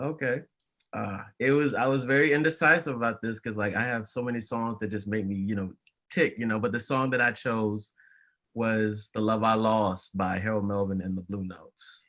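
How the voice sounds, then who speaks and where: A man talks at a moderate pace with a medium pitch and ordinary pitch variation in a normal speaking voice. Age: 20s. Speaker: college student and music fan. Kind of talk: casual podcast interview.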